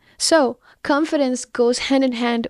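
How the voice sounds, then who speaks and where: The speech moves at a fairly slow pace with fairly even intonation. The sound is dry and close, with no echo. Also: woman. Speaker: podcast host. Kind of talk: solo monologue on confidence.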